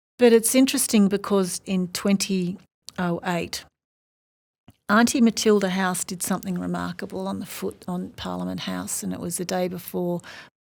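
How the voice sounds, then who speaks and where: Australian-accented speech from a woman, very cleanly recorded against a silent background. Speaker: professor. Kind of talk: interview.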